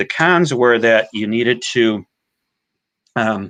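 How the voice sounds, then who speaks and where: In a quiet background, a man speaks in a normal speaking voice at a fairly low pitch. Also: dry, close sound with no echo. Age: 50s. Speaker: data science executive. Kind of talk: webinar talk and Q&A. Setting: online webinar.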